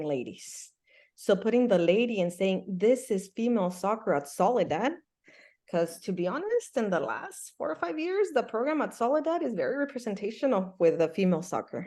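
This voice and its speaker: A woman with a Spanish accent, dark and mellow in tone, at a moderate pace, her pitch swinging very widely, over a quiet background. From Mexico (Michoacán), moved to US at about 8. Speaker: soccer coach and Spanish teacher. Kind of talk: interview. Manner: animated.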